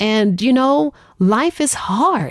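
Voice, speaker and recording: Her pitch swinging very widely, a woman speaks in an animated tone on a very clean recording with a silent background. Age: 30s. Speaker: podcast host. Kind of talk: solo monologue podcast.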